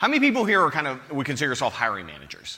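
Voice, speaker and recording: A man speaks with an American accent. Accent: American, non-British. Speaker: conference speaker, tech manager. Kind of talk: conference talk. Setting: stage with audience. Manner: casual, joking.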